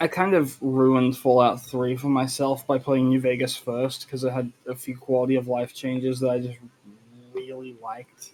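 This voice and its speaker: Speaking at a moderate pace, a man with an Australian accent keeps a monotone, flat intonation. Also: medium pitch for a man. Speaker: streamer. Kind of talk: casual chat.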